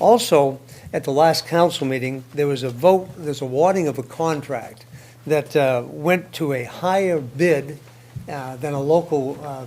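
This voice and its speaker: In a room with audible echo, a man with a fairly high voice speaks at a moderate pace with fairly even intonation. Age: 70s. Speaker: public commenter at a city council meeting. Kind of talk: public comment speech. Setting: city council meeting.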